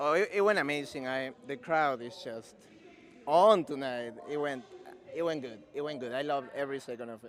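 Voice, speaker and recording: Speaking in a strong Peruvian accent, a man uses a fairly high pitch. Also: ordinary pitch variation, moderate pace. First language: Spanish. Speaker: comedian. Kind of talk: casual interview; stand-up. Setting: stage with audience.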